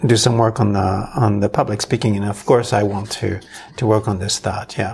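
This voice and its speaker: A man speaks with a fairly low, somewhat breathy voice. His intonation stays fairly even. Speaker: podcast host. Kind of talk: casual chat. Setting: studio.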